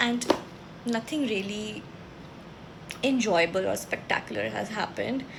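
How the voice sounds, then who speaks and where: A woman with a non-native accent speaks at a fairly high pitch and moderate pace, with ordinary pitch variation and long, frequent pauses, over noticeable background noise. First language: not English. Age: 20s. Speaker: book vlogger. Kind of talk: casual chat. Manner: casual.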